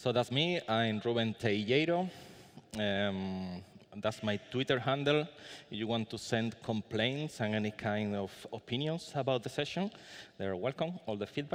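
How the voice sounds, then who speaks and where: Against a quiet background, a man with a Spanish accent talks at a moderate pace with lively intonation. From Spain. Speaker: conference speaker. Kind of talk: conference talk. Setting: conference room with audience. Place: hall. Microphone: podium.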